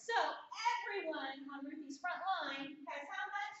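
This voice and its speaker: A woman speaks loud, at an extremely high pitch with lively intonation. Her pace is fairly slow, and there is audible room echo. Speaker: essential oil business trainer. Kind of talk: training seminar presentation. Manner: animated.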